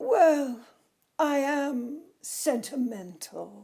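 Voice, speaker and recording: A woman's put-on character voice, high-pitched, with hissing. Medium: read story. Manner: hissing, haughty.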